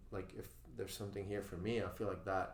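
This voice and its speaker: This man has a fairly low-pitched voice. The room around him gives an audible echo. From Venezuela. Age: 30s. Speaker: swim and CrossFit coach. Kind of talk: podcast interview. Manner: halting.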